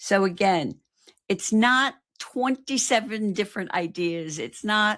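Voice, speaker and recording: Lively intonation marks a woman's plain, everyday voice. She speaks at a fairly slow pace on a very clean recording with a silent background. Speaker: marketing coach. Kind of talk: live stream talk.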